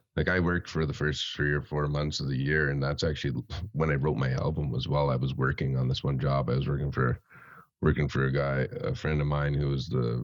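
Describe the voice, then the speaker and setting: With an Albertan accent, a man talks at a moderate pace in a very deep, low pitch, keeping his loudness very even and his intonation fairly even. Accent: Canadian (Alberta). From central Alberta, Canada. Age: 20s. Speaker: rapper and welder. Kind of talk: podcast interview.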